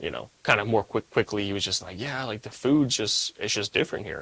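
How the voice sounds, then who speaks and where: Bright and sharp in tone, a man's fairly low voice moves at a fairly quick pace with ordinary pitch variation and an American accent, recorded with a dry, close sound and no echo. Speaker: student show host. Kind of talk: casual interview.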